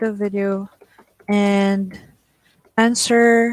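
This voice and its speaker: In a Filipino accent, a woman talks at a medium pitch with monotone, flat intonation and a dry, close sound with no echo. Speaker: online teaching trainer. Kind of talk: tutorial. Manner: stutters; code-switching English and Tagalog.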